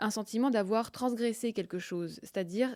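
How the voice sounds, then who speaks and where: A woman's voice, varying in pitch in an ordinary way, comes through on a very clean recording with a silent background. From Russia, grew up in France. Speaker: novelist. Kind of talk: interview. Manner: hesitant, many fillers.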